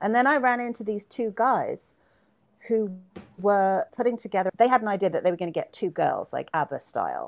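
In a plain, everyday voice, a woman with a fairly high pitch speaks at a fairly quick pace with lively intonation against a quiet background. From London, England, moved to US at 12. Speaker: pop singer and songwriter. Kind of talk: interview.

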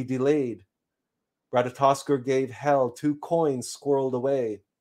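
A man with a fairly high pitch talks fairly slowly in an ordinary speaking voice. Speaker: spiritual teacher. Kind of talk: live-streamed spiritual talk. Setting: live stream. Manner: formal; measured, lecturing.

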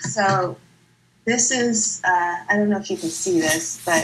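In an American accent, the speaker goes at a very slow pace with ordinary pitch variation. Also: woman. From Northern California. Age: 50s. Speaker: recovery meeting speaker. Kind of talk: testimony. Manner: halting.

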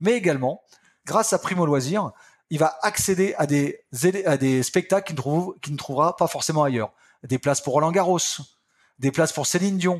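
This man's voice is fairly high. He moves at a fairly quick pace with ordinary pitch variation. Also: very clean recording, silent background. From France, Picardy. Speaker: company founder and boss. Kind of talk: interview.

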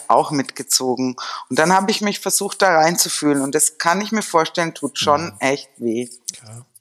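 A woman with a very deep, low pitch and lively intonation, at a moderate pace. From Germany, rural village. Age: 50s. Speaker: psychotherapist in training. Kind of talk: casual chat.

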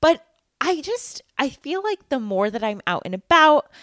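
Loud and at a fairly slow pace, a speaker with an American accent makes very wide pitch swings in a very clean recording with a silent background and a dry, close sound with no echo. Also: woman. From Massachusetts. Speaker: podcast co-host. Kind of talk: casual chat.

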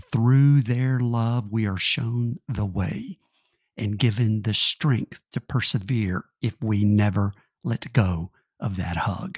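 In a dry, close sound with no echo, a man of medium pitch speaks at a very slow pace, somewhat breathy, with ordinary pitch variation. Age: 60s. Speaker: podcast host. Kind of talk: spoken reflective meditation.

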